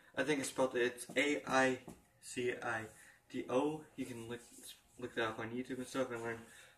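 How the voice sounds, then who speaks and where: At a moderate pace and medium pitch, a man speaks over noticeable background noise. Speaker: gaming vlogger. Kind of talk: casual chat. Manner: halting.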